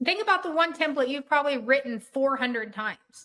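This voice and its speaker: A woman's raised, projected voice, high in pitch, with lively intonation and a bright, sharp tone. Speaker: software trainer. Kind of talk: webinar training session. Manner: fast.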